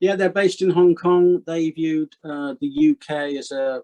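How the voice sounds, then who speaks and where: This man speaks with a West Country accent in a dark, mellow tone at a moderate pace. His intonation stays fairly even, and the sound is dry and close with no echo. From Gloucestershire, England. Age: 60s. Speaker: retired haulage business owner. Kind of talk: interview.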